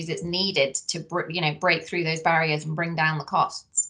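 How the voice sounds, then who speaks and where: A woman with a fairly low voice at a fairly quick pace against a quiet background. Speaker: research centre director. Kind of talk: interview. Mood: friendly, polite. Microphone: video call.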